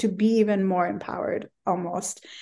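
A woman's voice over a quiet background. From Bangladesh. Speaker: travel writer and humanitarian worker. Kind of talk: interview conversation.

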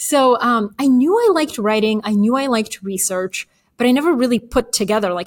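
The pace is fairly quick, with lively intonation. The speaker has a Bulgarian accent. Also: woman. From Bulgaria, then Atlanta, Georgia. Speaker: author and newsletter writer. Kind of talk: casual interview.

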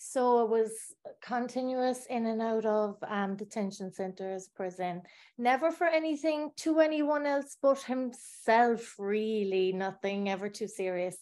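Against a quiet background, a woman with a Cork accent talks at a fairly slow pace and fairly high pitch, with lively intonation. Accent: Cork Irish. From Ireland, Bandon, County Cork. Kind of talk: personal testimony.

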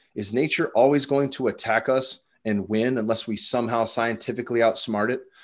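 A man with an ordinary speaking voice and medium pitch at a fairly quick pace, fairly even intonation, and a quiet background. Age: 30s. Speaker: former cage fighter and coach. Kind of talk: casual chat.

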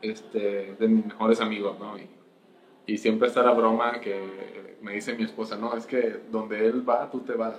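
A man speaks fairly slowly at a medium pitch, his intonation monotone and flat. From Colombia, then Mexico from age 15. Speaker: senior software engineer. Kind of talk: casual interview.

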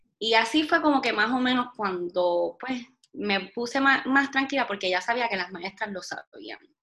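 This woman has a fairly high pitch and speaks with a Puerto Rican accent. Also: lively intonation, moderate pace. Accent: Puerto Rican Spanish with Spanglish. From Puerto Rico. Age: 20s. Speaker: health and wellness blogger. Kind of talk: casual interview chat.

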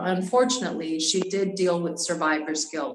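A woman's unremarkable speaking voice, medium in pitch, at a fairly slow pace. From US, military family. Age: 40s. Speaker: model and actress. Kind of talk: interview. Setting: podcast.

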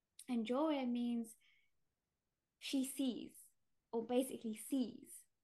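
A high-pitched woman's voice with a dark, mellow tone, fairly even intonation and a London accent. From East London, England (British Indian, Gujarati family). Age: 30s. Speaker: shamanic healer and artist. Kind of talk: casual interview chat.

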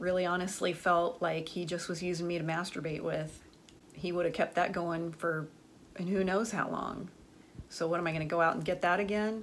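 In a room with audible echo, a woman talks with fairly even intonation. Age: 40s. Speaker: podcast host and business professor. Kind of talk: personal monologue.

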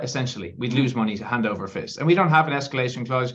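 A man speaks in an Irish accent with lively intonation. His pitch sits in the medium range. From Ireland, Galway. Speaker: construction consultancy CEO. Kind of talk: interview. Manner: halting, many fillers.

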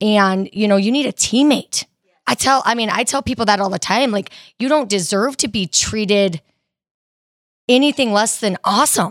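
At a moderate pace, a woman with a plain, everyday voice speaks at a fairly high pitch with ordinary pitch variation in a very clean recording with a silent background. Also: dry, close sound with no echo. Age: 30s. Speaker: personal trainer. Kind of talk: casual interview.

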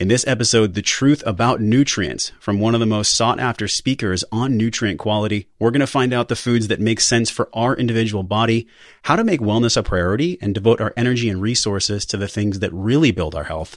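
This man has an unremarkable speaking voice at a medium pitch. He speaks with hardly any pauses and ordinary pitch variation. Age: 30s. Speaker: podcast host. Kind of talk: interview; scripted intro. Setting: podcast studio.

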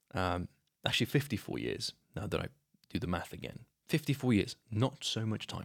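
A man with a fairly low pitch, vocal fry and lively intonation talks at a moderate pace. He leaves long, frequent pauses, and the sound is dry and close with no echo. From Slovenia. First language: Slovenian. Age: 20s. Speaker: podcast host. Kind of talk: solo monologue on a book.

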